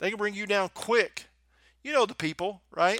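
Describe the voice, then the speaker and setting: A man with a Southern US accent, bright, sharp tone and ordinary pitch variation. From US South. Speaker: podcast host and motivational speaker. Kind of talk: motivational podcast monologue with prayer. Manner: animated, warm, encouraging.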